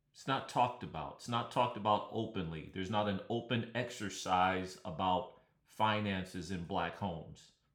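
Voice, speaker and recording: A man with an American accent and a fairly low pitch, big swings in loudness, and audible room echo. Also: ordinary pitch variation, moderate pace. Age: 60s. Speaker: podcast host. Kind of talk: solo podcast monologue.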